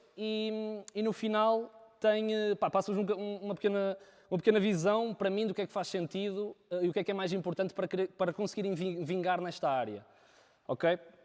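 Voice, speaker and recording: With fairly even intonation, a man talks in a high voice. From northern Portugal, Viana do Castelo. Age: 20s. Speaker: videographer. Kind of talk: talk to a live audience. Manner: halting, many fillers.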